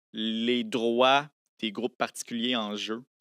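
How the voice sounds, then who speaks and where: At a fairly slow pace, a man speaks against a quiet background in a dry sound with no echo. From Quebec City area, Quebec; Quebec. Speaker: science popularizer, lawyer and engineer; lawyer. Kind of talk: casual interview. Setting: studio. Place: studio. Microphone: studio mic.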